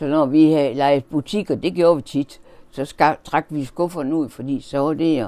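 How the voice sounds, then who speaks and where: With a very deep, low pitch and ordinary pitch variation, a woman speaks at a moderate pace in a dark, mellow tone. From Denmark, Horsens (East Jutland). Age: 80s+. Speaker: interviewee recalling childhood. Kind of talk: oral history interview. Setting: at home. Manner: halting.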